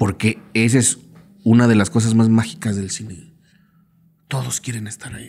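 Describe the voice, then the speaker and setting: With ordinary pitch variation and big swings in loudness, a man speaks at a moderate pace and pauses long and often. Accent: Mexican. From Mexico. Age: 40s. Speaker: filmmaker and screenwriter; podcast guest. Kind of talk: casual interview. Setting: in-person recording. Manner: halting, many repetitions. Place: studio. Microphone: studio mic.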